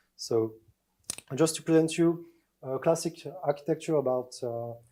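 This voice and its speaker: With a French accent, a man speaks in a dark, mellow tone with ordinary pitch variation. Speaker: security researcher. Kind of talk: conference talk. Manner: halting, many fillers.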